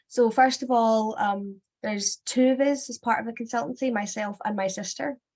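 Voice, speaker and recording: The speaker has a Scottish accent and a somewhat breathy sound. Pitch varies in an ordinary way at a moderate pace. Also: woman. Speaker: sex education consultant and former teacher. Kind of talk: webinar presentation. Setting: online webinar.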